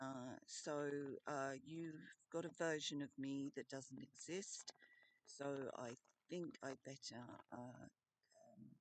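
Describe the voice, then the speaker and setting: A very deep, low-pitched woman's voice with an Australian accent, very slow and fairly even in intonation, dry and close with no echo. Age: 50s. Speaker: vlogger. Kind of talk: personal video message. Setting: in a tent. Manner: halting, many fillers.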